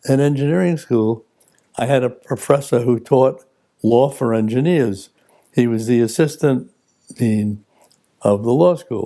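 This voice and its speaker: A man in a New York accent, medium pitch and dark, mellow tone, at a fairly slow pace with ordinary pitch variation and long, frequent pauses. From New York City, the Bronx. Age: 90s. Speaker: retired lawyer. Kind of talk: personal reflection interview.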